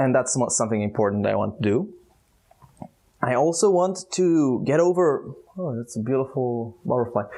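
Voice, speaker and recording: A man with a medium-pitched voice and a dark, mellow tone uses lively intonation. He leaves long, frequent pauses. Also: moderate pace. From Israel. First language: Hebrew. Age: 20s. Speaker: youtuber. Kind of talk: vlog monologue. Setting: outdoors. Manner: halting.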